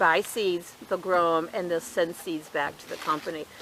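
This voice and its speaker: Noticeable background noise accompanies a woman speaking. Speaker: gardening youtuber. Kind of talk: casual tutorial. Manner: fast.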